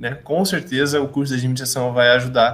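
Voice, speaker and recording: At a moderate pace, a man talks in a normal speaking voice with a fairly high pitch. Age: 20s. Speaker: podcast host, administration student. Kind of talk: casual chat.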